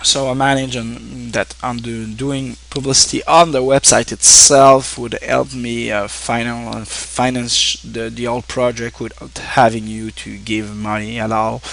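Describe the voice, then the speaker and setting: Over noticeable background noise, a man with a Quebec accent talks at a fairly slow pace, his loudness swinging widely. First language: French. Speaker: online streamer and game reviewer. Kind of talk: casual thank-you address to viewers. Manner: halting, many fillers and restarts.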